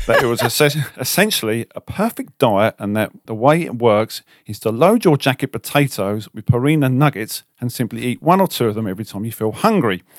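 A man's medium-pitched voice with a southern English accent, lively intonation and a playful tone, fairly quick with hardly any pauses, big swings in loudness, and a dry, close sound with no echo on a very clean recording with a silent background. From southern England. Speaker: car detailing podcast co-host. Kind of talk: casual chat. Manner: joking, playful.

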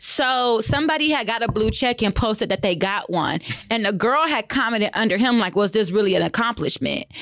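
A woman with an American accent has an ordinary speaking voice at a fairly high pitch. She talks at a fairly quick pace with lively intonation, very even loudness and hardly any pauses. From another US region, far from Texas. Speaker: podcast co-host and realtor. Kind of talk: casual chat.

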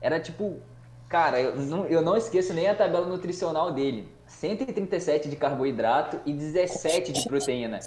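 A man talks in a high voice with lively intonation at a fairly slow pace. Room echo is audible, and there is noticeable background noise. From Brazil, Espírito Santo (Cachoeiro). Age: 20s. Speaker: chemistry teacher and nutritionist. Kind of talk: casual chat.

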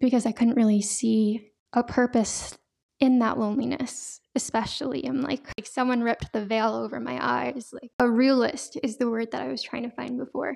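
A normal speaking voice holds a moderate pace, its intonation fairly even. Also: woman, fairly high pitch for a woman. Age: 20s. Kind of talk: testimony. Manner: casual, frequent laughs and fillers.

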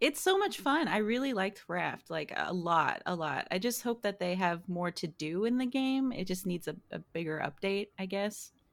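Speaking at a moderate pace with hardly any pauses, a woman has an unremarkable speaking voice at a medium pitch. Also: lively intonation. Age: 20s. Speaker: video game streamer. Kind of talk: casual chat.

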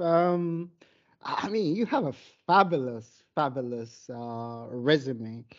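A woman is speaking. Her pace is very slow. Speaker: podcast co-host. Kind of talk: interview. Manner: halting, many fillers.

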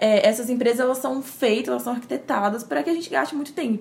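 In a slight mineiro accent, a woman speaks at a very fast pace with a high pitch and lively intonation. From Minas Gerais, Brazil (Timóteo, interior). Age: 20s. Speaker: communication graduate, churchgoer. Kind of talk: casual chat.

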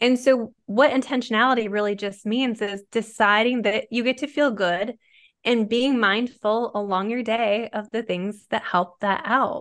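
Against a quiet background, a woman uses a plain, everyday voice at a fairly high pitch, keeping a fairly even intonation and a fairly slow pace. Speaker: intuitive therapist and author. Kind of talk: casual interview chat.

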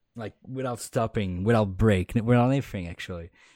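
A man with a Quebec accent and ordinary pitch variation. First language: French. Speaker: podcast co-host. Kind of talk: casual chat. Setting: remote call. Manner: animated.

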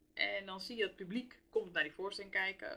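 Bright and sharp in tone, a woman of medium pitch talks at a fairly quick pace. Her pitch swings very widely. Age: 30s. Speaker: theatre business manager. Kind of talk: interview.

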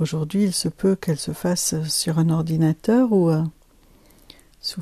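A woman speaks at a fairly slow pace with a somewhat breathy, dark, mellow tone and fairly low pitch. Her intonation stays fairly even, and the sound is dry and close with no echo. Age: 50s. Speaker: life coach and podcast host. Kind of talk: solo podcast monologue.

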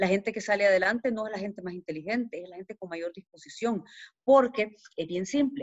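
A woman speaks with a Salvadoran accent. Her pace is very fast. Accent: Salvadoran accent, kept despite years abroad. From El Salvador. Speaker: podcast guest speaking about money. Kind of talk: casual interview chat.

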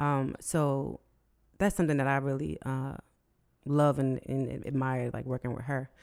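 Her pace is fairly slow. This woman's pitch is very deep and low. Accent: American. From Philadelphia area. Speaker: singer-songwriter. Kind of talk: casual chat.

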